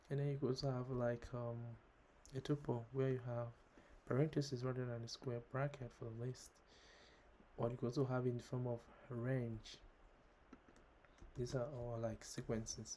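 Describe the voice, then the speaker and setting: Man at medium pitch with a dark, mellow tone, monotone and flat, at a moderate pace broken by long, frequent pauses. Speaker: programming tutorial creator. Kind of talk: tutorial. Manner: hesitant, many fillers.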